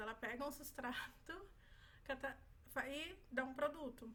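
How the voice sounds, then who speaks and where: A woman speaks in a high voice with fairly even intonation. She leaves long, frequent pauses. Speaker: medical student. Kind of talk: exam review tutorial. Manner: fast.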